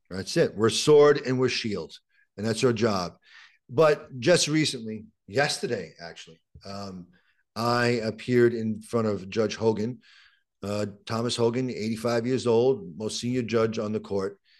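Against a quiet background, a man with a strong Brooklyn accent speaks at medium pitch and a fairly slow pace with ordinary pitch variation. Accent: strong Brooklyn New York. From Brooklyn, New York, Puerto Rican family. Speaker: criminal defense attorney. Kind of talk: interview conversation. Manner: repetitive, halting starts.

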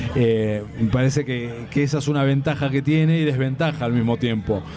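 Man with an Argentine accent at a moderate pace, ordinary pitch variation, and noticeable background noise. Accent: Argentine Spanish (Rioplatense). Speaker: comics commentator, DC advocate. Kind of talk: casual panel debate.

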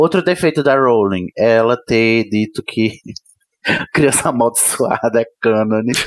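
The speech comes at a fairly slow pace with ordinary pitch variation. Loudness holds very even throughout. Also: man, medium pitch for a man. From Brazil. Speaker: podcaster. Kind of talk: casual chat.

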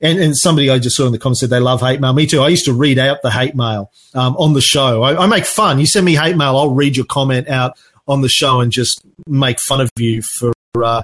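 A man with an Australian accent talks at a very fast pace and medium pitch. His loudness stays very even, with ordinary pitch variation. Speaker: podcaster and marketing agency owner. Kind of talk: online talk with live Q&A.

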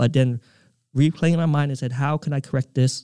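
A man with an American accent has a fairly high pitch, a dark, mellow tone and ordinary pitch variation. The sound is dry and close with no echo. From Utah, US (Provo), Vietnamese refugee family. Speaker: nonprofit executive director and author, formerly incarcerated. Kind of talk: interview conversation. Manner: hesitant, many fillers.

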